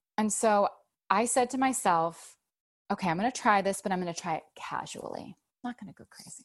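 Over a quiet background, a woman in an ordinary speaking voice talks at a medium pitch with ordinary pitch variation and big swings in loudness. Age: 30s. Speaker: author. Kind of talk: casual chat.

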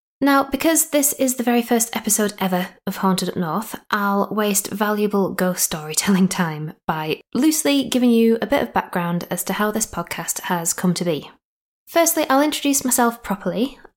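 The speaker talks at a moderate pace in a Yorkshire accent. Pitch swings are very wide. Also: woman, fairly high pitch for a woman. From Yorkshire, northern England. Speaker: podcast host and storyteller. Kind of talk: scripted ghost story narration. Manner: playful.

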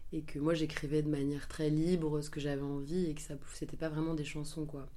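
Talking at a fairly quick pace, a woman with a very deep, low pitch is heard over audible room echo. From western France (Angers). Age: 20s. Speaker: singer. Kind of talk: interview. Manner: hesitant, many fillers.

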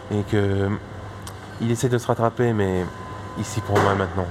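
A man talks at a fairly low pitch. Noticeable background noise runs behind him. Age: 20s. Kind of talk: casual interview. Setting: bistro. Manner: halting.

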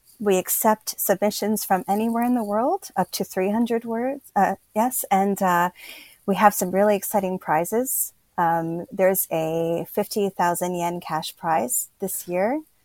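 In an ordinary speaking voice, a woman with medium pitch and ordinary pitch variation talks at a fairly slow pace, the sound dry and close with no echo. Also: very clean recording, silent background. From Pennsylvania, US. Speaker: writer and educator. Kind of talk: interview conversation.

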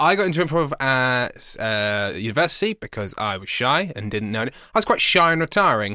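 A man with an English accent, medium pitch and a bright, sharp tone, talking fairly quickly with very wide pitch swings and hardly any pauses, on a very clean recording with a silent background. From England. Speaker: podcast co-host. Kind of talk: casual chat. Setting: studio. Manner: loud.

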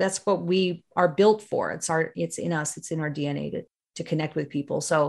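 Over a quiet background, a woman with a Canadian accent talks in a plain, everyday voice at a fairly quick pace, fairly low in pitch with ordinary pitch variation. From Northern Ontario, Canada. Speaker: video marketing consultant, former TV broadcaster. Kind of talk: interview.

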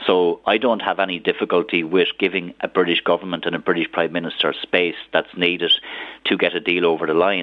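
An Irish-accented man's very deep, low, flat monotone at a fairly quick pace. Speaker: politician. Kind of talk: radio interview.

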